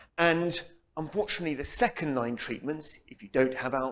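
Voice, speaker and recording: A man speaks fairly quickly, his pitch shifting in an ordinary way. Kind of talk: lecture. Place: hall. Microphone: lapel.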